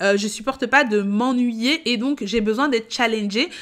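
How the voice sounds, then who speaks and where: A woman speaks at a moderate pace and fairly high pitch with an animated tone. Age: 30s. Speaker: payroll educator and content creator. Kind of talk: casual vlog monologue. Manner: loud.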